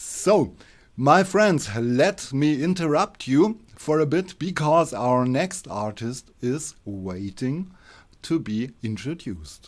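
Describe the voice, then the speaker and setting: A man speaks at a very slow pace, his fairly high pitch making very wide swings. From Germany. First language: German. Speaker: online radio show host. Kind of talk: live online show chat.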